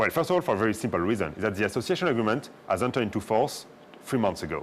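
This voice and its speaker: This man speaks with a French accent at a very fast pace. His fairly low voice swings very widely in pitch. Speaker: diplomat. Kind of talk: talk show interview. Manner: hesitant, many fillers.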